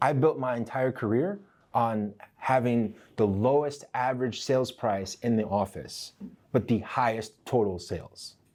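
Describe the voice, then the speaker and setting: At a fairly slow pace, a man talks in an unremarkable speaking voice with medium pitch and ordinary pitch variation. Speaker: real estate trainer. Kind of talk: training session. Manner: conversational.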